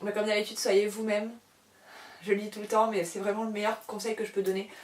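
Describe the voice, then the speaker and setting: Fairly high-pitched female speech, monotone and flat in intonation. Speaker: published author and book YouTuber. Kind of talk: casual chat to camera. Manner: fast; rambling, hesitant with many fillers.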